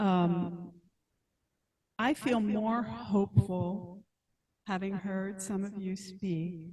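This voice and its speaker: Somewhat breathy and dark, mellow in tone, a woman's medium-pitched voice shows ordinary pitch variation. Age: 60s. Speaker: meeting attendee, planning committee clerk. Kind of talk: meeting contribution. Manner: halting.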